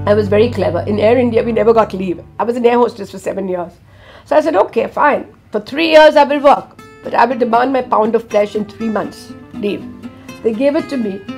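Faint music plays behind a woman speaking at a fairly quick pace. Her pitch is fairly high, with ordinary variation. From India. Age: 70s. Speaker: world traveller. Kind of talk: interview answer. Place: studio.

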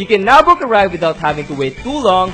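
Music plays in the background. The voice makes very wide pitch swings. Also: man. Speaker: voice actor. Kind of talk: TV commercial read.

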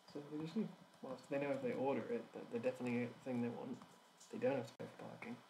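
With an English accent, a man talks very fast in a fairly high, somewhat breathy voice that swings very widely in pitch. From England. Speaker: animation streamer. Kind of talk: casual chat while working. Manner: halting.

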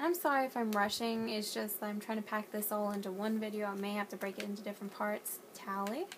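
Speaking very fast with hardly any pauses, a woman with an American accent keeps a medium pitch over noticeable background noise. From US South, North Carolina. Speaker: gaming YouTuber. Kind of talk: casual gameplay walkthrough. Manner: animated. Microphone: phone near.

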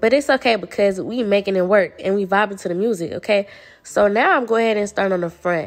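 Over a quiet background, a woman with a medium-pitched voice speaks at a very fast pace in an upbeat tone with ordinary pitch variation. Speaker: beauty vlogger. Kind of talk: vlog voiceover. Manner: casual, upbeat.

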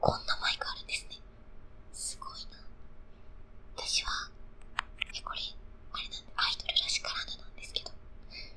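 Whispering is all this woman does. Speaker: idol singer. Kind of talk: ASMR whisper talk. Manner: whispered. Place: studio. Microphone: studio mic.

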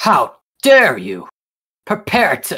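Growling, a female-sounding voice performs a put-on character voice. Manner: indignant, angry.

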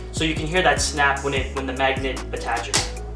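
Music can be heard clearly behind the speaker. A man talks fairly quickly. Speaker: barber reviewing a product. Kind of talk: product review tutorial. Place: home room.

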